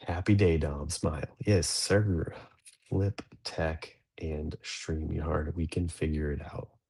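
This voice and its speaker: The voice is quiet and somewhat breathy, moving at a very slow pace with fairly even intonation. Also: man, very deep, low pitch for a man. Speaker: livestream host of a dads' show. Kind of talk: casual livestream chat. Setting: livestream from an office. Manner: quiet, low-pitched early-morning talk.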